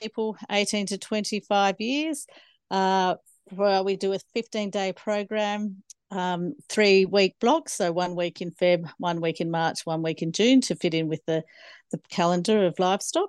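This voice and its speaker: A woman with an Australian accent speaks at a medium pitch with ordinary pitch variation, her sound dry and close with no echo against a quiet background. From Australia, Snowy Mountains, New South Wales. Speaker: farmer and ag trainer. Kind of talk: interview.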